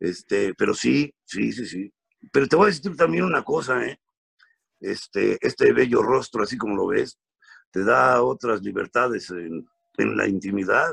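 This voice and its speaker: A man talks at a fairly slow pace with a dry, close sound and no echo. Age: 50s. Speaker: comedian. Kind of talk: casual chat.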